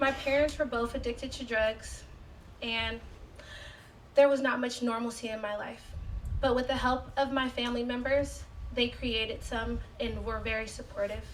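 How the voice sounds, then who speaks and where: A woman talks with long, frequent pauses, with noticeable background noise and audible room echo. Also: moderate pace. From San Francisco. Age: 20s. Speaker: community resident. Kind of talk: prepared speech.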